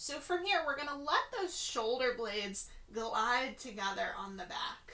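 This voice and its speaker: Someone with a gentle tone and lively intonation speaks at a fairly slow pace, with noticeable background noise and audible room echo. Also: woman. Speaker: Pilates instructor. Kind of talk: fitness class instruction. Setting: at home. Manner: slow, gentle.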